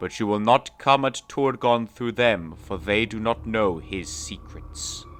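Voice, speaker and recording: A man puts on a character voice at medium pitch, talking at a fairly slow pace with lively intonation. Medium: read story. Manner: defiant.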